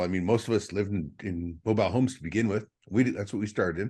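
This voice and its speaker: This man talks very fast with an Upper Midwest accent and ordinary pitch variation. The background is quiet. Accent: Upper Midwest American. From Minnesota. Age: 60s. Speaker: trapper. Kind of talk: casual chat. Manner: halting, many repetitions.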